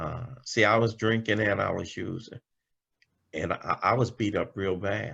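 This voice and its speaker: Fairly even in intonation, a man's voice carries a bright, sharp tone. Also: medium pitch for a man, fairly slow pace. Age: 60s. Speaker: recovering alcoholic speaker. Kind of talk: testimony. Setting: video call.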